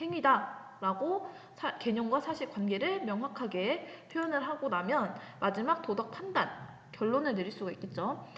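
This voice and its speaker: A woman with a high voice swings her pitch very widely, with audible room echo and noticeable background noise. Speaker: high school ethics teacher. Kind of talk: recorded online lecture. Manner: casual, talkative.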